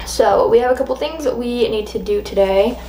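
A woman speaks with a fairly high pitch and a slightly mellow tone. Faint background noise sits behind her.

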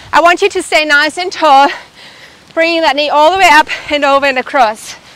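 With a dry sound and no echo, a woman is heard speaking. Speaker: fitness instructor. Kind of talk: workout instruction. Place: garden.

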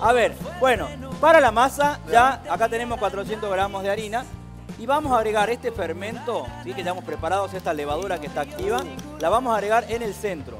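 The speech moves at a fairly quick pace with clear music in the background. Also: man, high pitch for a man. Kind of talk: tutorial. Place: studio.

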